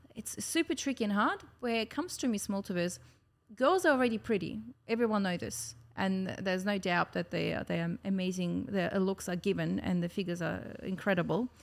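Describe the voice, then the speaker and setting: A woman with a Russian accent talks at a fairly quick pace in a cheerful tone with lively intonation. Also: medium pitch for a woman. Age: young. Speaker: pageant winner and dance studio director. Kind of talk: casual chat. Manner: cheerful, laughs often.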